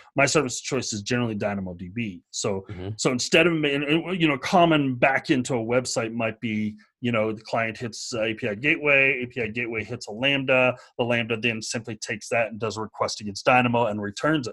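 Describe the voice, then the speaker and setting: This is a plain, everyday voice with ordinary pitch variation. It moves at a fairly quick pace with hardly any pauses. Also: man, medium pitch for a man. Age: 50s. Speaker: tech developer advocate. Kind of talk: casual interview chat.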